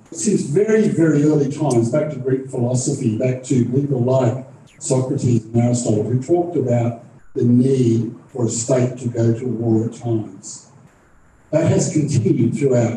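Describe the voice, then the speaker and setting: A man with an Australian accent at medium pitch, moderate pace and ordinary pitch variation, over noticeable background noise. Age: 60s. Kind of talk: moderating a live panel event. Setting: stage with audience, live streamed.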